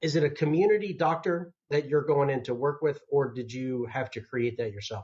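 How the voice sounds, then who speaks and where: A man's fairly high voice with an American accent, somewhat breathy, at a moderate pace with ordinary pitch variation and hardly any pauses. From US South, North Georgia. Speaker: podcast host. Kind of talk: interview.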